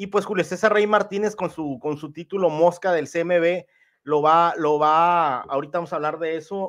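At a fairly slow pace, the speaker sounds animated, using ordinary pitch variation against a quiet background. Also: man. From northwest Mexico (Sinaloa/Sonora); Mexico. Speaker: boxing commentator. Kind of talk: casual livestream boxing analysis. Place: home room. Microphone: studio mic.

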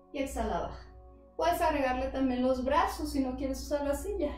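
A woman's voice with audible room echo and faint music in the background. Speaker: yoga instructor. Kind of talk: guided exercise instruction. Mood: calm, guiding. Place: home room. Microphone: camera far.

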